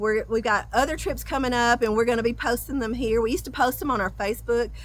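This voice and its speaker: With a Southern US accent, a woman talks in a very clean recording where the background is silent. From US South. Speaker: travel vlogger. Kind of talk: casual chat. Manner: talkative; halting.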